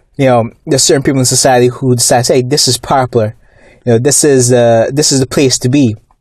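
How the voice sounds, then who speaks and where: A man's somewhat breathy voice at a medium pitch, very fast and monotone with flat intonation. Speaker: YouTube commentator on comics and movies. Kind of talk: angry rant about fake comic fans and studio politics. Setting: YouTube video monologue. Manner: indignant, scornful, worked up, with fillers and repeated words.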